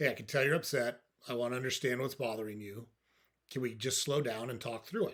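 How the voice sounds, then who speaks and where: Doing a put-on character voice, a soft-spoken man with a raspy, medium-pitched sound talks at a very fast pace with fairly even intonation. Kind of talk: gentle, de-escalating. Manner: calm, soft, even.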